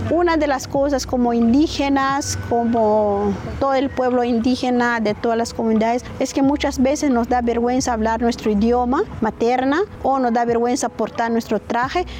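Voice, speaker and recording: The voice holds a very even loudness and fairly even intonation at a moderate pace, with noticeable background noise. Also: woman, high pitch for a woman. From western Guatemala, Lake Atitlán. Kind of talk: interview. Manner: halting.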